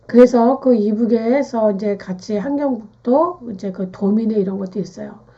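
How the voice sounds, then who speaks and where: The speaker moves at a moderate pace with hardly any pauses and ordinary pitch variation. Noticeable background noise is present. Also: woman, fairly high pitch for a woman. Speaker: naming and fortune-telling teacher. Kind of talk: lecture.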